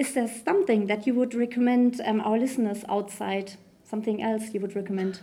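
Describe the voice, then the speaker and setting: A woman with a German accent talks fairly quickly in a fairly high voice. Her tone is dark and mellow, and her intonation stays fairly even. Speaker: podcast host. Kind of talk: interview.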